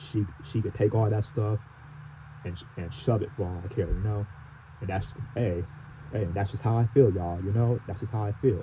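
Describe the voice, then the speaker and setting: Somewhat breathy and dark, mellow in tone, a man speaks at a fairly low pitch and a moderate pace. His intonation stays fairly even, broken by long, frequent pauses. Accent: American. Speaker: transit fan vlogger. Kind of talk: personal vlog monologue. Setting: in the dark. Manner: halting, repetitive.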